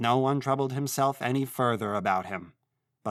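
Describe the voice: Against a quiet background, the plain reading aloud keeps a fairly even intonation.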